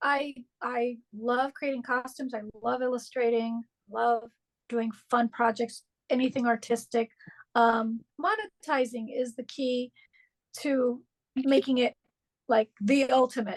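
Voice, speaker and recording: A woman with a high voice speaks at a fairly slow pace, with long, frequent pauses and fairly even intonation, in a dry, close sound with no echo. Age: 60s. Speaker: artist. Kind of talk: interview.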